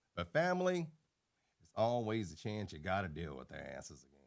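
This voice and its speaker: Recorded very cleanly against a silent background, a man with vocal fry speaks at a fairly quick pace, his pitch swinging very widely. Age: 50s. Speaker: YouTuber. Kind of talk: casual vlog monologue. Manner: unscripted, unedited talk.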